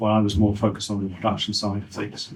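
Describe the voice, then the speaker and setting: A man talks at a fairly low pitch with monotone, flat intonation. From Britain. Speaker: car designer. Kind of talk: audience Q&A. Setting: talk at a car meet-up with audience. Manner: halting.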